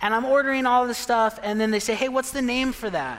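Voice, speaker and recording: A man talks fairly quickly with an American accent while noticeable background noise is present. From Pine, Arizona, US. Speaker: pastor. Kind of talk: sermon. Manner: casual, conversational.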